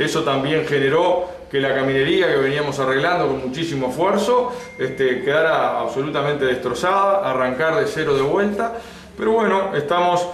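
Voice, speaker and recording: Delivered at a moderate pace, the speech carries light background noise and audible room echo. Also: man, fairly high pitch for a man. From Uruguay, Lavalleja department. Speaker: local government head. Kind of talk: interview. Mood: calm, serious. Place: office. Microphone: phone near.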